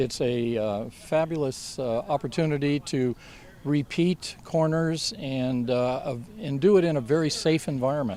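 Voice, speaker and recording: Speaking fairly slowly with ordinary pitch variation, a man's fairly high voice comes through noticeable background noise. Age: 70s. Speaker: motorcycle riding instructor and racer. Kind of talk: interview answers.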